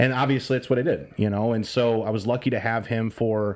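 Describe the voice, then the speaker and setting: An American-accented man at a fairly quick pace, medium in pitch. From northern Illinois, US. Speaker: sports radio host. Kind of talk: podcast interview. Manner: loud and excitable; conversational, with fillers.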